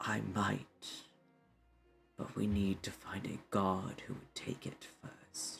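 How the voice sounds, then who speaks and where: Over music in the background, a man whispers in a breathy put-on character voice. He goes at a very slow pace with long, frequent pauses. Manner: whispering.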